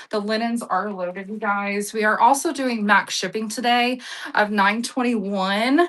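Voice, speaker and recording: Her pitch fairly high with ordinary variation, a woman speaks at a fairly slow pace in an ordinary speaking voice. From Texas (Sweetwater/Abilene area). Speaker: live-stream auction seller. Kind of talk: live selling stream. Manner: casual, chatty.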